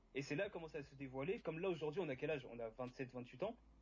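A man's fairly high, somewhat breathy voice, very fast and lively in intonation. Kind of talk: casual debate livestream.

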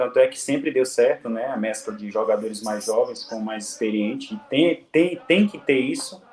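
Background noise is noticeable throughout. A man is talking at a moderate speed. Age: 30s. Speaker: professional footballer. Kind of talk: casual interview. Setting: video call.

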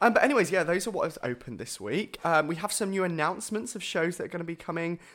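At a very fast pace, a man with a southern English accent speaks in a high voice with lively intonation. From southern England (Bournemouth). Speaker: podcast co-host, musical theatre performer. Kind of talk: casual chat.

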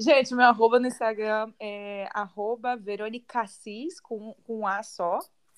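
An ordinary speaking voice, fairly even in intonation, at a fairly slow pace with big swings in loudness. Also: woman, fairly high pitch for a woman. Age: 20s. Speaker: podcast co-host, model. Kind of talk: casual chat.

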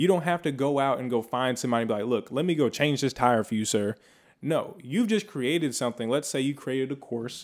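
Very fast male speech at a medium pitch with lively intonation, on a very clean recording with a silent background. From California. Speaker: podcast co-host. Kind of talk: casual chat. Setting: home studio.

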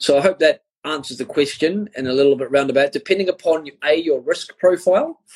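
A New Zealand accent in a dry, close recording with no echo. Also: man. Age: 40s. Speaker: crypto and finance educator. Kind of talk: interview on a live stream.

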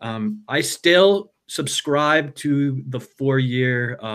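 With an American accent, a man talks using ordinary pitch variation. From United States. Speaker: Lightning project founder. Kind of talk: casual chat.

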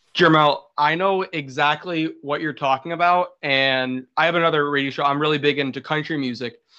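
An unremarkable speaking voice with an American accent, a moderate pace and fairly even intonation. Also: man, fairly high pitch for a man. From New York. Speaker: podcast host. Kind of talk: casual chat.

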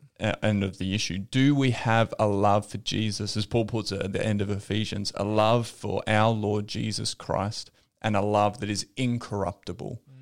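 Speaking at a moderate pace with hardly any pauses, a man with a fairly low pitch keeps a monotone, flat intonation on a very clean recording with a silent background. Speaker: podcast host. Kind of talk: casual chat.

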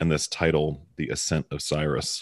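The background stays quiet. A man's speech moves along at a moderate speed. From Baltimore, US. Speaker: podcast host. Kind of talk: casual discussion podcast. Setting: remote recording, hosts in different cities. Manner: joking, casual.

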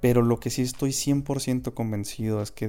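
Very clean and with a silent background, the recording has a man with a northern Mexican accent speaking at a moderate pace and medium pitch, with a dark, mellow tone and ordinary pitch variation. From Mexico, Chihuahua. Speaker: podcast host. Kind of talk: spiritual monologue.

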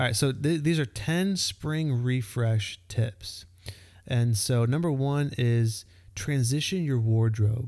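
Very slow and very even in loudness, a man with an American accent speaks at a medium pitch with ordinary pitch variation. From Texas. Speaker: podcast host. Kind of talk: casual chat. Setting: home, baby on lap.

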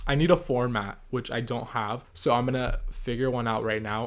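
A man at a medium pitch in a very clean recording with a silent background. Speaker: podcast host and toy designer. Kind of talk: casual solo monologue. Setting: home recording. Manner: fast, animated; changing pace.

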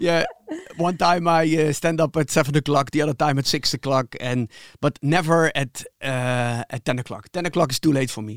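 A man with a Dutch accent speaks at a moderate pace and a fairly high pitch. His pitch variation is ordinary, and the sound is dry and close with no echo. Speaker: podcast co-host. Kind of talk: interview.

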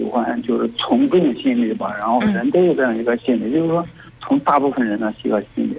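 A man is heard over noticeable background noise. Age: 30s. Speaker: caller. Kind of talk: call-in advice. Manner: halting.

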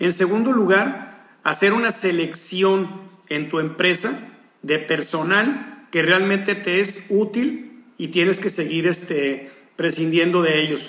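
A man with a Mexican accent and a high pitch, ordinary pitch variation and a very slow pace, over noticeable background noise. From Mexico. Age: 50s. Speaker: hotel executive. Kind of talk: interview. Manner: halting, repeats words.

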